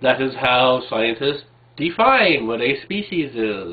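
Here a man is talking. His pace is very slow. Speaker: video blogger. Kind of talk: casual vlog commentary. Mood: wry, argumentative. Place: home room. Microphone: webcam.

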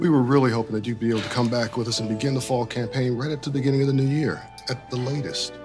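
Clear music plays in the background as a man talks. He goes at a very fast pace with fairly even intonation. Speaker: actor. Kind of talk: film/TV drama scene. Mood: earnest, gently persuasive. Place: home room.

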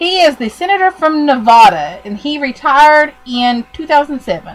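A woman's pitch makes very wide swings. Noticeable background noise sits behind her. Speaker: podcast host. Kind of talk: casual chat.

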